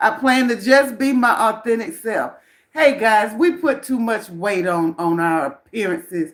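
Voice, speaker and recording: A woman speaks loudly with lively intonation. Her pace is fairly slow. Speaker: self-help vlogger. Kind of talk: live stream chat. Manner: animated.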